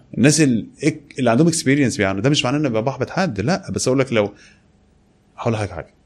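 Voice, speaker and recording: Speaking at a very fast pace, a man uses a medium pitch and lively intonation. His speech is broken by long, frequent pauses. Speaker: e-commerce entrepreneur. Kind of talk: interview.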